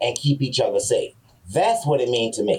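The speaker's tone is dark and mellow, and somewhat breathy. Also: man. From San Francisco Bay Area. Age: 50s. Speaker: hemophilia patient. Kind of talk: interview.

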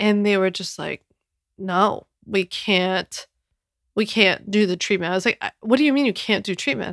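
In an American accent, a woman speaks with an ordinary speaking voice at medium pitch, ordinary pitch variation and a moderate pace, on a very clean recording with a silent background and a dry, close sound with no echo. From US Northeast, Philadelphia. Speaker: podcast host, online business entrepreneur. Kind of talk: casual solo podcast monologue. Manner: chatty, conversational with frequent fillers.

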